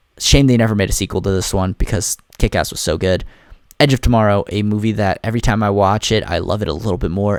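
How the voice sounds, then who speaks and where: The voice has an animated tone and a fairly quick pace, with a dry, close sound with no echo on a very clean recording with a silent background. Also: man. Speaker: movie reviewer. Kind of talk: casual monologue ranking movies. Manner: fast.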